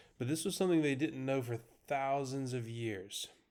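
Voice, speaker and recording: An unremarkable speaking voice from a man of medium pitch, at a moderate pace with ordinary pitch variation. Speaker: math teacher. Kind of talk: lecture.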